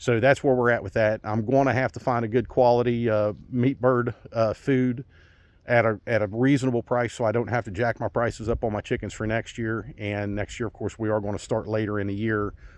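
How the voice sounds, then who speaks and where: Monotone, flat intonation at a fairly quick pace. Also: man, medium pitch for a man. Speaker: small farmer. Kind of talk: casual vlog talk. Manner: fast.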